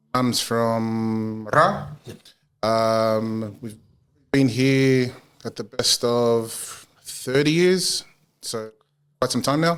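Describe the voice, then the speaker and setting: A man speaks at a very slow pace in a strong Australian accent, his medium-pitched voice broken by long, frequent pauses. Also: ordinary pitch variation. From Australia, western Sydney (Mount Druitt); Fijian family. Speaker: community services business owner. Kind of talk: interview.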